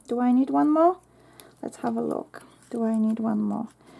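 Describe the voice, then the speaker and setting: A woman speaks at a moderate pace in a Polish accent. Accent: Polish accent, non-native English. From Poland. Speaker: craft YouTuber. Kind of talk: tutorial. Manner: chatty, thinking aloud.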